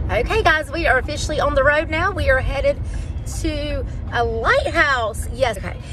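A woman at a moderate pace, dry sound with no echo, faint music behind her. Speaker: family travel vlogger. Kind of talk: casual vlog chat. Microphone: phone near.

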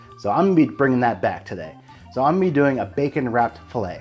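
A man speaks with faint music in the background. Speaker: barbecue channel host. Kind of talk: casual vlog chat. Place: home room. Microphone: lapel.

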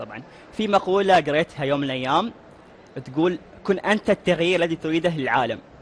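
A high-pitched man at a fairly quick pace over light background noise. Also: ordinary pitch variation. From UAE. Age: young. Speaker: novelist; TV interview host. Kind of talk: TV interview. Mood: friendly, smiling. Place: hall.

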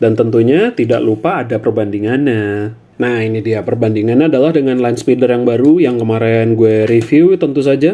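Here a man talks at a fairly quick pace with hardly any pauses. His pitch varies in an ordinary way. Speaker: toy reviewer. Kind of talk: casual toy review commentary. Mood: relaxed, nostalgic. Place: home room. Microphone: phone near.

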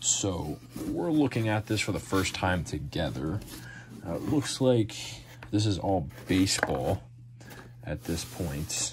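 Noticeable background noise sits behind a man with a very deep, low pitch. He speaks at a fairly slow pace, with long, frequent pauses. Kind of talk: casual vlog chat. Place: home room. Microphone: phone near.

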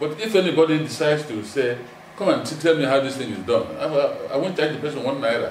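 A man talking at a very fast pace with ordinary pitch variation, audible room echo and light background noise. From Nigeria. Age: 70s. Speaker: retired broadcaster and lawyer; lawyer. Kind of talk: interview. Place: home room.

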